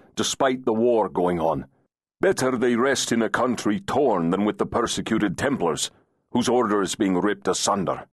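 Reading aloud in a natural voice, with ordinary pitch variation and a quiet background.

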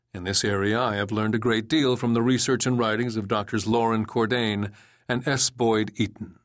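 A man talks in a monotone, flat intonation with very even loudness. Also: medium pitch for a man, moderate pace. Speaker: audiobook narrator. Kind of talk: audiobook reading, scripted narration of a health book. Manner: even, formal, measured.

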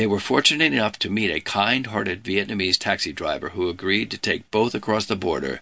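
A man's fairly low voice, bright and sharp in tone, over a quiet background. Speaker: audiobook narrator. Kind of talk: scripted audiobook narration of true crime, dramatic storytelling. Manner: measured, suspenseful, steady pacing; serious, gravely dramatic tone.

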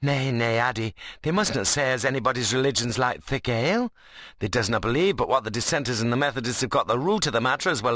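Intonation rises and falls in a lively way in this unforced reading voice.

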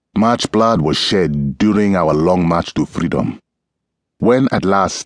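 In a dry, close sound with no echo, a man talks at a fairly slow pace with a very deep, low pitch, a warm, solemn tone and lively intonation. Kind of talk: audiobook reading of a first-person memoir-style text, scripted narration. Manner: measured, solemn, earnest pace with deliberate gravity; warm, reflective, sincere narration.

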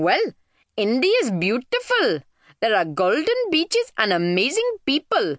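Using a put-on character voice, a woman speaks slowly at a fairly high pitch with very wide pitch swings, the sound dry and close with no echo.

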